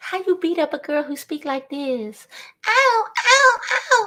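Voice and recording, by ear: A put-on, squeaky, female-sounding character voice, extremely high in pitch, with very wide pitch swings at a fairly slow pace.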